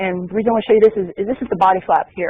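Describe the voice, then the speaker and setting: Speaking very fast, a man with an American accent has a high-pitched voice. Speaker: space program manager. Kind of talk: press briefing presentation.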